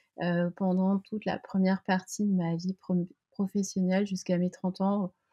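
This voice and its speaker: The woman's voice is somewhat breathy, set at a medium pitch. She talks at a fairly slow pace. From French coast. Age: 40s. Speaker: sports brand co-founder. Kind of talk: interview. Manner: halting, many hesitations.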